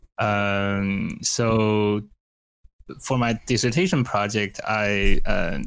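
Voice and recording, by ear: A man speaks very slowly at a fairly low pitch, with vocal fry, a fairly bright, clear, smooth tone and ordinary pitch variation.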